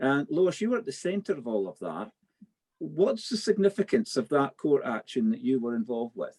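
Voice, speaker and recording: A high-pitched man with a Scottish accent, very wide pitch swings and a moderate pace, in a dry, close sound with no echo. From Scotland. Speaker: politician and panel chair. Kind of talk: webinar panel moderation.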